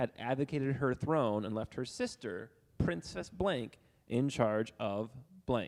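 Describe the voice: This is plain reading aloud. Nothing else stands out in the delivery.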